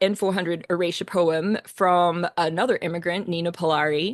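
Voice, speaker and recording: Woman's fairly low voice, dry and close with no echo, against a quiet background. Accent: slight Australian. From Australia. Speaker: composer. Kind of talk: talk on own work. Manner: casual, many fillers.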